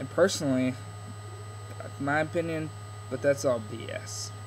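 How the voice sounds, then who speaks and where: A man speaks at a moderate pace and a medium pitch. Noticeable background noise and audible room echo are present. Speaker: video blogger. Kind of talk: casual vlog monologue. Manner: halting, stuttering a bit.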